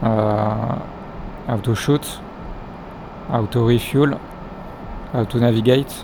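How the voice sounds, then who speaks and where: A man at a medium pitch with a non-native accent, very slow and monotone with flat intonation, over noticeable background noise. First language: not English. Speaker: flight simulator gameplay youtuber. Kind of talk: tutorial. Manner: halting, many fillers.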